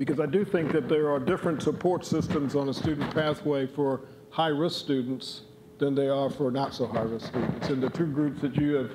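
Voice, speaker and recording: A man's fairly high voice at a fairly quick pace, with ordinary pitch variation and very even loudness, amid noticeable background noise and audible room echo. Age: 60s. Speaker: conference speaker on college planning. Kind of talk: conference presentation.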